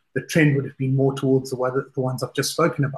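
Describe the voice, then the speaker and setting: His voice carries a somewhat breathy quality. This man's pitch sits fairly high. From South Africa. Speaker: fund manager. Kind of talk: interview.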